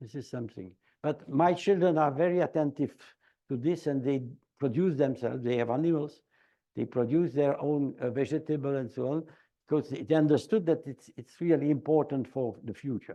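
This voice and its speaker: Over a quiet background, a man talks at a moderate pace with a fairly high pitch, a dark, mellow tone, and ordinary pitch variation. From Belgium. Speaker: demographer and longevity researcher. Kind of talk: lecture Q&A. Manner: halting.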